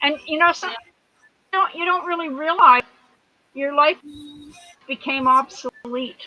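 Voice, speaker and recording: A woman with a high pitch speaks in a raised, projected voice at a fairly slow pace, with long, frequent pauses. Her pitch varies in an ordinary way, and the sound is dry and close with no echo. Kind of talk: casual chat.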